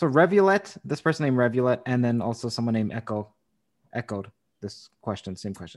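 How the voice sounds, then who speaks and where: On a very clean recording with a silent background, a man with a plain, everyday voice speaks at medium pitch and a fairly quick pace, his intonation lively. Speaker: podcast host interviewer. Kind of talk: interview with sponsor read.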